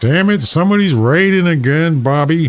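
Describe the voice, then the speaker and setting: Putting on a character voice, a man speaks at a moderate pace. His pitch is fairly high. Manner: gruff, annoyed.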